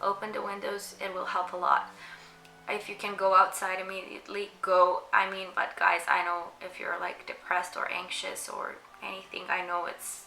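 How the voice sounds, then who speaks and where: Amid noticeable background noise and audible room echo, a woman with a non-native accent talks at a moderate pace, her loudness swinging widely. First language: not English. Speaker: mental health content creator. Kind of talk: casual advice talk. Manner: halting, many fillers.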